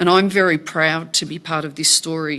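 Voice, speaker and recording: A woman with a fairly low pitch speaks at a moderate pace in an Australian accent, her tone bright and sharp and her intonation flat and monotone. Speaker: company director. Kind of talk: formal self-introduction speech. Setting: meeting room with audience.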